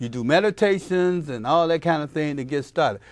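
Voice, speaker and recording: A man uses a plain, everyday voice with lively intonation at a moderate pace, recorded very clean with a silent background. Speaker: talk show host. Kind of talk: radio interview host.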